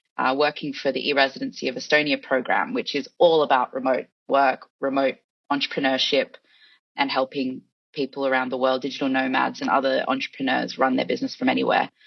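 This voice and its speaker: Here a woman speaks in an Australian accent. Her pace is fairly quick. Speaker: head of content at an e-residency program. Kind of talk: casual interview.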